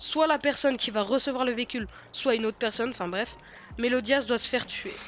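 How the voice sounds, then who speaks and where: Music plays in the background as a woman talks at a fairly quick pace with ordinary pitch variation. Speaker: gaming youtuber. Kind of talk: gameplay tutorial. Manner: halting, many fillers.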